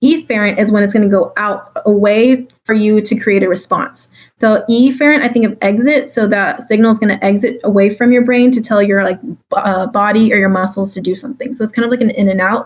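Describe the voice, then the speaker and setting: A woman with a fairly high, somewhat breathy voice speaks at a fairly quick pace with hardly any pauses and fairly even intonation. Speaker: exam review tutor. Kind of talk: exam review lecture. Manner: fast; casual with many fillers.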